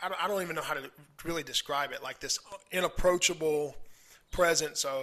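In a bright, sharp tone, a man talks with an American accent. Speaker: podcast host. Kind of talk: casual interview chat.

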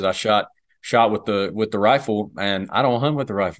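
A man speaks with a Southern US accent and ordinary pitch variation. The background is quiet. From US South. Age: 20s. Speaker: police dog handler and hunter. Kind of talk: casual interview.

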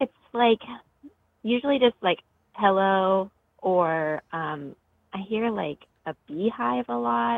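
A woman speaks at a very slow pace with long, frequent pauses. Her pitch makes very wide swings. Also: medium pitch for a woman. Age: 20s. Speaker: caller. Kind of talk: phone call.

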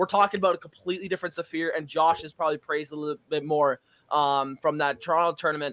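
This man's voice is fairly high in pitch, with a bright, sharp tone. He talks at a very fast pace, and the sound is dry and close with no echo. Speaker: competitive gamer. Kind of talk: casual chat. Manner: animated.

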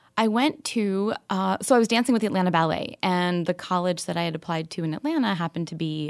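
An ordinary speaking voice from a woman with an American accent, fairly low pitch, ordinary pitch variation and a fairly quick pace, very clean recording, silent background. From New York and Kentucky. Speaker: financial advisor and founder. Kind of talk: interview.

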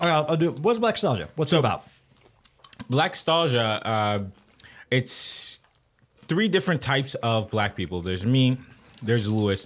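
A man's pitch swings very widely as he speaks with long, frequent pauses. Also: medium pitch for a man, moderate pace. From Haitian-American, Haitian family. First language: Haitian Creole. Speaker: podcast host. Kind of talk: casual chat.

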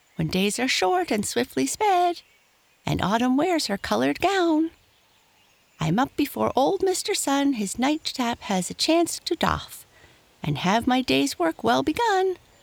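In a put-on character voice, a woman speaks at a high pitch with big pitch swings and vocal fry, at a fairly slow pace.

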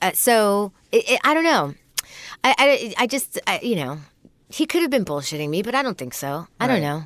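Her fairly high voice swings very widely in pitch, as this woman talks at a moderate pace with vocal fry. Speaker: comedian. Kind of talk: casual chat.

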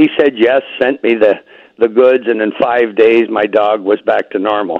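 Here is a man with medium pitch and an ordinary speaking voice. He talks at a moderate pace. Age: 60s. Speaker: health product user giving testimonial. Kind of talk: testimony.

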